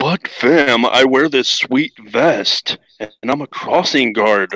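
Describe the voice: A man uses a put-on character voice at a medium pitch. He speaks very slowly.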